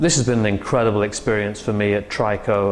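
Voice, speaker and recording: A man with an English accent speaks at a fairly low pitch in a monotone, flat intonation. Noticeable background noise and audible room echo are present. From England. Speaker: interventional cardiologist. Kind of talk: interview. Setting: medical conference. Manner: hesitant, many fillers.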